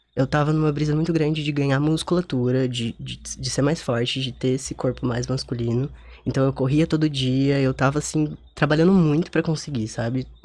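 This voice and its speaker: Soft-spoken, a man talks at a medium pitch and a moderate pace with fairly even intonation. He takes hardly any pauses. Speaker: guest on radio show. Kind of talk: casual interview chat.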